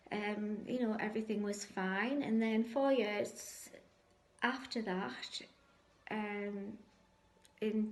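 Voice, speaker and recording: Very slowly, a woman speaks at a fairly high pitch with audible room echo. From northeast England, Sunderland. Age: 60s. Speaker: cancer patient sharing faith story. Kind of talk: testimony. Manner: hesitant, frequent ums.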